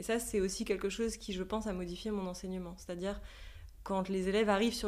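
A woman at medium pitch speaks with vocal fry, with audible room echo around her. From Switzerland. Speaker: yoga teacher. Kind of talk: interview. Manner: halting.

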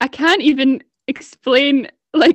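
The voice carries a Scottish accent. The sound is dry and close, with no echo. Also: woman. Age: 20s. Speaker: podcast co-host, university student. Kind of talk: casual chat.

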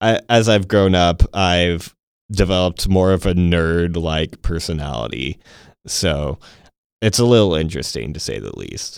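Recorded very cleanly over a silent background, a man with an American accent talks at a fairly slow pace, his very deep, low pitch showing ordinary variation. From Texas (Temple). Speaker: podcast host. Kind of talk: casual chat. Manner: enunciating carefully.

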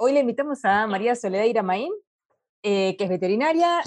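A woman's fairly high voice at a very fast pace, with lively intonation. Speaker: podcast co-host, veterinarian. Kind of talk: casual interview.

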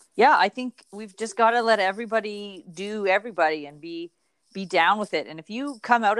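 A woman with a normal speaking voice talks at a fairly quick pace, medium in pitch. The recording is very clean, with a silent background and a dry, close sound with no echo. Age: 40s. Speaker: podcast co-host, small business owner. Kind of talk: casual chat.

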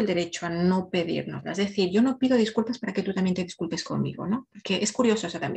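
Ordinary pitch movement in a somewhat breathy voice. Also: woman. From Ecuador. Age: 40s. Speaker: emotional wellbeing coach. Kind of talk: podcast interview, personal story.

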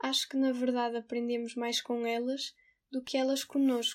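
Very clean and recorded against a silent background, a woman's high-pitched voice moves at a fairly slow pace. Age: 20s. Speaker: theatre graduate and volunteer. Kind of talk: personal testimony.

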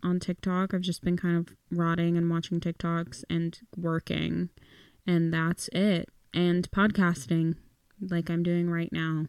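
A woman talks at a fairly slow pace with a fairly low pitch and monotone, flat intonation. Her loudness stays very even, and the sound is dry and close with no echo. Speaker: podcast host. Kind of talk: casual solo podcast chat. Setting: in bed at home, recording. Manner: casual, chatty, self-deprecating.

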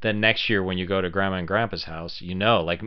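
Very deep, low male pitch with fairly even intonation. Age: 50s. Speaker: actor and podcast co-host. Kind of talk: casual chat.

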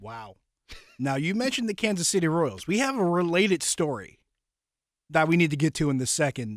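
An ordinary speaking voice from a man at a fairly quick pace, with lively intonation, on a very clean recording with a silent background. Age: 30s. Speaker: sports podcast host. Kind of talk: casual sports talk.

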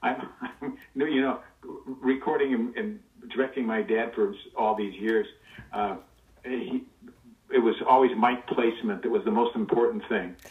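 With an American accent, a man speaks at medium pitch and a fairly slow pace, his intonation lively. He takes long, frequent pauses over noticeable background noise. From Los Angeles, US. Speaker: guest, voice actor's son. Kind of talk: casual interview chat, storytelling. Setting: remote recording, audio call. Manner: animated, does cartoon voices.

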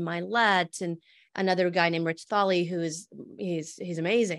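A woman with an American accent has a normal speaking voice and a moderate pace. Her intonation is fairly even, and the recording is very clean with a silent background. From Montana, US. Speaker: entrepreneur and author. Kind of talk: interview.

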